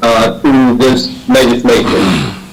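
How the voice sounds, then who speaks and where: A man speaks with an American accent. The recording carries audible room echo and noticeable background noise. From US South, South Carolina. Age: 60s. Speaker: public commenter, retired federal executive and veteran. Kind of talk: public testimony at planning board meeting. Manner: halting, many fillers.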